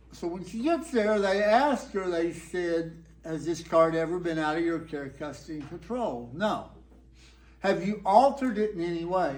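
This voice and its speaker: With a Texan accent, a man speaks at a moderate pace and high pitch, his intonation lively. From Texas. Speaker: storyteller. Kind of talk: live storytelling performance. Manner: laid-back, whimsical.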